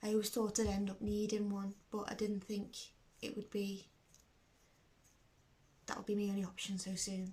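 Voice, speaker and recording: Delivered with a Liverpool accent, the speech has a dark, mellow tone and is somewhat breathy. Intonation is monotone and flat, broken by long, frequent pauses. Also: woman, medium pitch for a woman, moderate pace. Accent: Scouse. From Liverpool, England. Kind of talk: personal video diary talk to camera.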